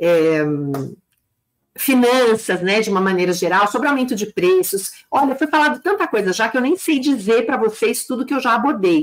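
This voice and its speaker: A woman speaks at a moderate pace in a fairly high voice, her intonation lively and her loudness very even. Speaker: business consultant and teacher for beauty salon owners. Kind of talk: live stream talk. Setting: live stream on YouTube and Instagram. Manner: animated.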